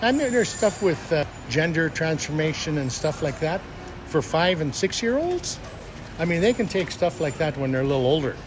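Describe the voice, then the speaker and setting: A man's fairly high voice with lively intonation at a fairly quick pace, over noticeable background noise. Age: 70s. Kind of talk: street interview.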